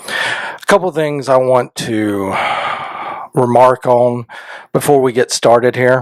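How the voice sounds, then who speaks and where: A man's very slow voice at a medium pitch, with ordinary pitch variation, long and frequent pauses, and a dry, close sound with no echo. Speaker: YouTuber sharing mental health experiences. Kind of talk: casual talk to camera, personal vlog. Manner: conversational, hesitant with fillers.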